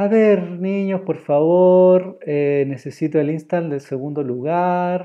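Against a quiet background, a man talks at a very slow pace. His pitch varies in an ordinary way. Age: 30s. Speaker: drawing teacher. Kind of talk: online class. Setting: live stream. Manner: animated. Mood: warm, encouraging. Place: home room. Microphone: earbuds.

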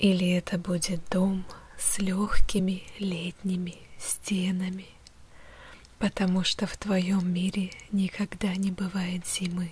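A soft-spoken, somewhat breathy woman talks with monotone, flat intonation. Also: dry sound with no echo. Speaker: guided meditation host. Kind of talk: guided visualization, soft ASMR-like narration. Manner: soft, hushed meditative ASMR voice.

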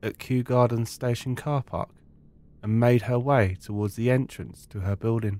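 A man at medium pitch talks with an ordinary speaking voice at a moderate pace and fairly even intonation. The very clean recording has a silent background and a dry, close sound with no echo. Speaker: true crime podcast host. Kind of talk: scripted true-crime narration, solemn and measured. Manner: measured, serious storytelling pace; respectful, sombre tone.

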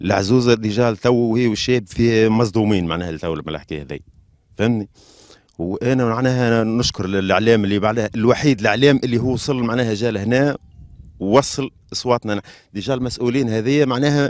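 An unremarkable speaking voice moves through ordinary pitch variation. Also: man, medium pitch for a man. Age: young. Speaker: brother of victims. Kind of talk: interview.

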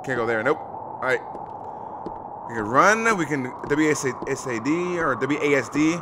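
Clear background noise is present. A man talks with lively, shifting intonation. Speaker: gaming streamer. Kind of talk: let's play commentary. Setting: home, playing in the dark. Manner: animated. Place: home room.

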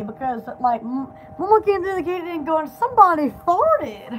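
Over light background noise, a woman talks at a moderate pace with an extremely high pitch and very wide pitch swings. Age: young. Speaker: livestreamer and small shop owner; vlogger. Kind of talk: casual live stream chat. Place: home room. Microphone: phone near.

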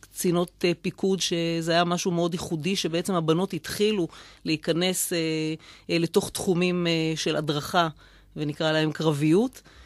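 Against a quiet background with a dry sound and no echo, the voice moves at a fairly slow pace with monotone, flat intonation. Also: woman, fairly low pitch for a woman. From Israel, Rishon LeZion; Israel. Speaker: mayor; city mayor, radio guest. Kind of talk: radio interview; interview answer. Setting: studio. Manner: halting. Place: studio.

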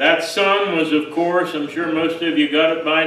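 Here a man speaks in a fairly high pitch with monotone, flat intonation. There is audible room echo. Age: 60s. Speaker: pastor. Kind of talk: sermon. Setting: church. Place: church. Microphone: podium.

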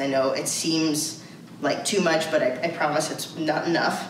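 A woman with a very deep, low voice is heard with audible room echo and light background noise. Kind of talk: informational briefing. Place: office. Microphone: camera far.

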